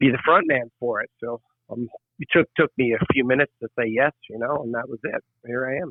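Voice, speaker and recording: At a fairly quick pace, a man of medium pitch speaks with ordinary pitch variation and big swings in loudness. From Canada. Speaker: band lead singer. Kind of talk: interview. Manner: halting, many repeated words.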